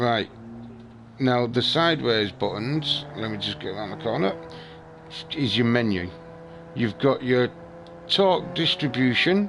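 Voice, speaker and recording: Over noticeable background noise, a man speaks at a fairly slow pace with long, frequent pauses. His pitch swings very widely. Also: medium pitch for a man. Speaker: gaming streamer. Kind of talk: gameplay tutorial with friends. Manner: slow, deliberate explaining.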